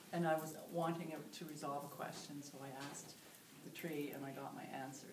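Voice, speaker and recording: A woman speaks at a fairly quick pace with a very deep, low pitch. Her intonation stays fairly even over noticeable background noise. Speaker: meditation teacher. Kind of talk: interview answer. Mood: warm, calm, friendly. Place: home room. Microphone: camera far.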